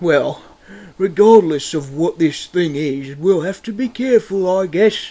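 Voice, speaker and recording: The voice is a man's put-on character voice. It sits high in pitch. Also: moderate pace. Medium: machinima. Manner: polite, careful.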